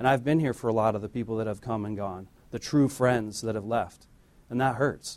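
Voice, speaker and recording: An unremarkable speaking voice from a man, medium in pitch, fairly quick, with fairly even intonation. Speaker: church deacon giving offering message. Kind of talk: offering message, light humor.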